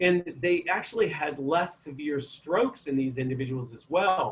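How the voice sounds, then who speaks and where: A man's normal speaking voice with an American accent, lively intonation and a fairly slow pace. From Maine, US. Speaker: chiropractor giving health talk. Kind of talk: online health talk. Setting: video call.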